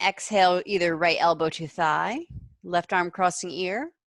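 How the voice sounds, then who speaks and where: At a moderate pace, a woman with an unremarkable speaking voice talks at a fairly low pitch with ordinary pitch variation, the sound dry and close with no echo. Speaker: yoga teacher. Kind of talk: guided yoga class instruction. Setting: video call class.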